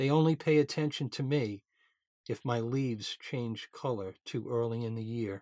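The recording is very clean with a silent background. A man with a New York accent speaks at a medium pitch and a moderate pace. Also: ordinary pitch variation. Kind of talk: podcast host introducing and reading writings.

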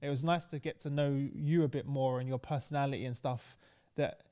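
A man speaks fairly quickly in an East London accent, with a dark, mellow tone. The recording is very clean, with a silent background. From East London, England. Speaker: podcast host. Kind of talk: casual interview.

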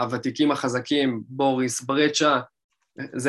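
Medium in pitch and moderate in pace, a man speaks in a plain, everyday voice over a very clean recording with a silent background. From Israel, Rishon LeZion. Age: 20s. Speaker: DJ and music producer. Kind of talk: casual interview.

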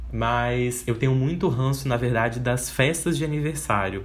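There is audible room echo as a man talks at a moderate pace, somewhat breathy. His pitch sits in the medium range and his intonation is lively. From Espírito Santo, Brazil. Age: 20s. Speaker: podcast host and advertising student. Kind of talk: casual solo monologue.

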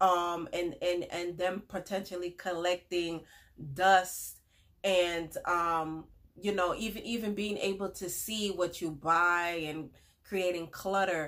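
A woman speaks slowly with fairly even intonation, her fairly low voice carrying a fairly bright tone.

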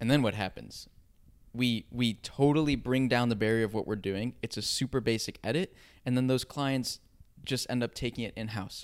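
A man with a plain, everyday voice speaks at a moderate pace and a medium pitch. His intonation is fairly even, and the recording is very clean with a silent background. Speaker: co-host. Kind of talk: casual banter.

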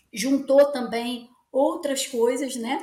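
A woman speaks in a high pitch, with audible room echo around her voice. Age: 40s. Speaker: children's book author and yoga practitioner. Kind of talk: interview conversation.

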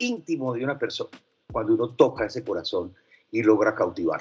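A man's fairly high-pitched voice over background music. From Medellín, Colombia (from age 12). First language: French (speaking Spanish). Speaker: advertising executive. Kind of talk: interview.

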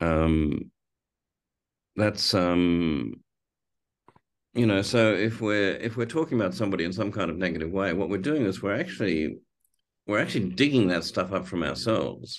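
Pitched very deep and low, a man speaks at a moderate pace with long, frequent pauses against a quiet background. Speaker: film director with Parkinson's. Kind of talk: interview conversation. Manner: thoughtful, hesitant with repeated words.

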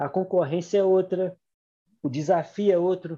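Dark, mellow tone from a man with a high pitch, set against a quiet background. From Minas Gerais interior, Brazil. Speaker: podcast co-host and investment mentor. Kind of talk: casual chat.

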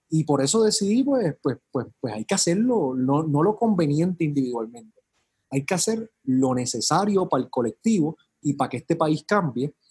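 With very wide pitch swings, a man talks at a fairly high pitch, captured in a dry, close sound with no echo. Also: moderate pace. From Puerto Rico, San Juan metro area. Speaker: politician, mayoral candidate. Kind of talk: casual interview.

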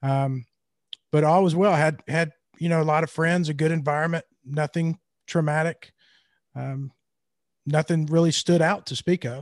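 With a Mississippi accent, a man speaks at a moderate pace and a fairly high pitch, his intonation fairly even and broken by long, frequent pauses. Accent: Southern US, Mississippi. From Mississippi, US South. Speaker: guest in recovery, business owner. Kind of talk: casual interview about recovery story.

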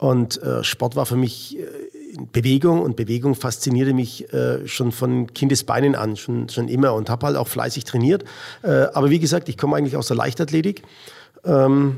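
This man speaks at a moderate pace in a medium pitch. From Middle Franconia, Bavaria (Rothenburg ob der Tauber). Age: 50s. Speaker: American football coach. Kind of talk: interview. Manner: halting, many fillers.

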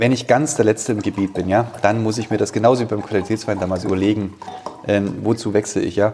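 Over noticeable background noise, a man talks very fast in a fairly low voice with fairly even intonation. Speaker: winemaker. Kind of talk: casual interview during wine tasting. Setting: wine cellar. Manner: hesitant, many fillers.

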